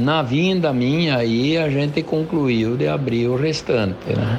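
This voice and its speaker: A man at a very slow pace, with noticeable background noise and audible room echo. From Rio Grande do Sul and southwest Paraná, Brazil. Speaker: farmer. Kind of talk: interview. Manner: halting.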